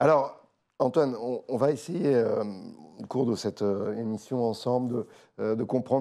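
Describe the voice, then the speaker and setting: In a dark, mellow tone, a man talks at a medium pitch. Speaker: interview host. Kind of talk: interview.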